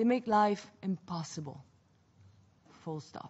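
A woman is speaking at a fairly slow pace. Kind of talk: formal speech. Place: hall. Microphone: podium.

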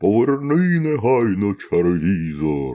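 Putting on a booming character voice, a man speaks fairly slowly at a fairly low pitch with very wide pitch swings.

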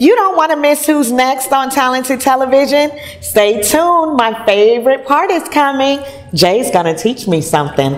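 Faint music plays in the background as a woman with a high pitch and an animated tone speaks at a moderate pace, her pitch swinging very widely while her loudness stays very even. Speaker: show host and singer. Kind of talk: casual interview. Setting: restaurant venue. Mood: cheerful, laughing.

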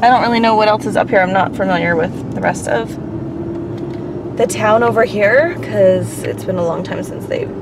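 A woman speaks at a moderate pace against noticeable background noise. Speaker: family vlogger. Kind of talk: casual vlog chat. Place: car. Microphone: phone near.

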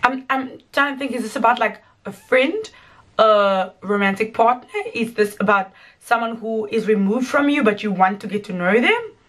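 A woman speaks with ordinary pitch variation at a moderate pace. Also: quiet background. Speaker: music reaction youtuber. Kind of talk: casual reaction commentary. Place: home room.

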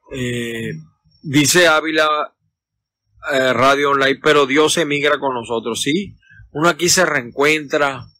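With a Venezuelan accent, a man talks very slowly with long, frequent pauses, fairly high pitch and fairly even intonation, in a dry sound with no echo. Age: 50s. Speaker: political commentator. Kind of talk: casual live stream. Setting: outdoors in a backyard. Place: garden. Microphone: phone near.

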